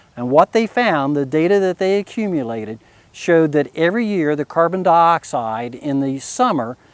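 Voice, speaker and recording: Speaking at a moderate pace with a West Virginia accent, this voice makes very wide pitch swings in a dry, close recording with no echo. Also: man, fairly high pitch for a man. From US, West Virginia. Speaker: physician and conservationist. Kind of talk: explanatory talk. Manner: measured, with fillers.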